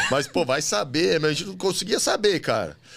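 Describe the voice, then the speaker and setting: There is light background noise as a man speaks at a moderate pace in a fairly high voice with vocal fry. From São Paulo, Lapa district; São Paulo. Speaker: model, actor and reality show contestant; actor. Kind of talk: casual chat. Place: studio. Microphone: studio mic.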